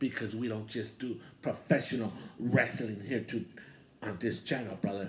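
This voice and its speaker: Light background noise sits under a man's somewhat breathy voice, which moves at a moderate pace with ordinary pitch variation. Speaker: wrestling channel host. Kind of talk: casual vlog chat. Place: home room. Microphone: handheld.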